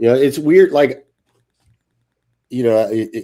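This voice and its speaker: A dark, mellow tone at a moderate pace, with lively intonation. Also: man. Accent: American. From Louisiana. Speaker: retired army sergeant major, actor. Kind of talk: casual chat.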